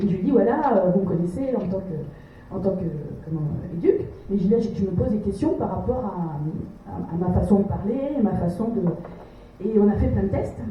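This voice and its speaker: A woman talks with lively intonation. Audible room echo and noticeable background noise surround her voice. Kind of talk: testimony. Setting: café debate with audience. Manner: fast; halting, repeats words.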